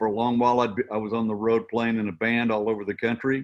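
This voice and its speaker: Against a quiet background, a man with a medium pitch talks at a very fast pace. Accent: American. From US Midwest, Missouri. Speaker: country radio broadcaster and musician. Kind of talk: interview. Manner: animated.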